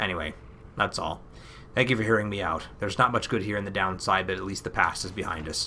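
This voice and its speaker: A man uses a put-on character voice, raspy and fairly low in pitch. He talks at a very fast pace with fairly even intonation over clear background noise. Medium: game stream.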